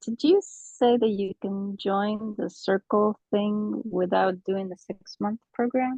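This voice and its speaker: Quiet and at a very slow pace, a woman speaks with ordinary pitch variation. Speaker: artist, coaching participant. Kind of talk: casual chat.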